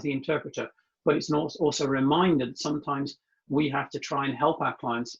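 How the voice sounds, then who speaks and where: Speaking at a fairly quick pace, a man with a British accent has a fairly high pitch and a somewhat breathy voice. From UK. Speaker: translation industry consultant. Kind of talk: interview storytelling. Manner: fast; hesitant fillers.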